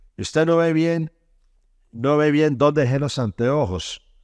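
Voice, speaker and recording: A very clean recording with a silent background, dry and close with no echo, at a fairly slow pace. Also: man. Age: 60s. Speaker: preacher. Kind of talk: sermon.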